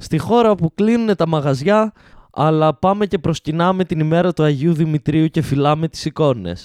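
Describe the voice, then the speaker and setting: At a moderate pace, a man with an unremarkable speaking voice talks with ordinary pitch variation, the sound dry and close with no echo. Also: fairly high pitch for a man. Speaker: comedian doing live Instagram rants. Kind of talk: angry sarcastic rant about Covid, priests and Greek society, delivered live to chat. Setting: Instagram live stream addressing chat viewers. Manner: indignant, sarcastic, mocking, with incredulous stress and rising outrage.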